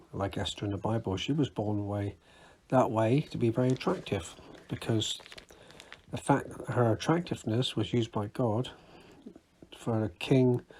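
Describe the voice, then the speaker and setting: In a British accent, the speaker talks at a moderate pace with lively intonation, a somewhat breathy voice, and long, frequent pauses. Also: man, medium pitch for a man. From UK. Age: 60s. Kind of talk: casual talk to camera. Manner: halting, self-correcting.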